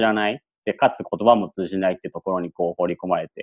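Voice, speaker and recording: A man is speaking. He talks at a very fast pace. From Yokohama, Japan. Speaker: former returnee student. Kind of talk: interview. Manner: hesitant with many fillers; polite.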